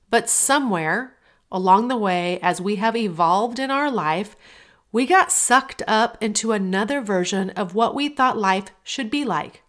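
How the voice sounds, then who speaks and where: At a moderate pace, a woman with an unremarkable speaking voice talks in a fairly high pitch with lively intonation, on a very clean recording with a silent background. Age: 40s. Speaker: podcast host and life coach. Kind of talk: motivational monologue.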